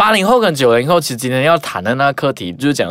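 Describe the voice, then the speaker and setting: The man's pitch sits in the medium range but swings very widely, and he moves at a fairly quick pace. His recording is very clean, with a silent background. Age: 20s. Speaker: podcast co-host. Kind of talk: casual chat.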